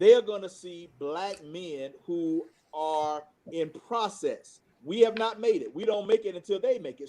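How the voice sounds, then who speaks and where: This man's voice has a high pitch, a dark, mellow tone, and ordinary pitch variation. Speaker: pastor and school founder. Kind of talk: panel discussion. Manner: loud.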